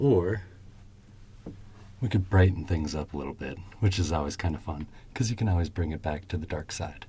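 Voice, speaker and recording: Very deep and low, a man's somewhat breathy voice has a dark, mellow, calm and soothing tone, going at a fairly quick pace with ordinary pitch variation. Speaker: shoe shine ASMR creator. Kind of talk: casual talk to camera, ASMR demonstration. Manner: calm, soothing.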